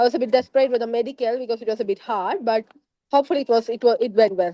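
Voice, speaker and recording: A woman's fairly high voice with a Keralan accent at a very fast pace. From India, Kerala. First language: Malayalam. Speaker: former student, biotechnologist. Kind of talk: interview testimony. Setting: podcast. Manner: halting.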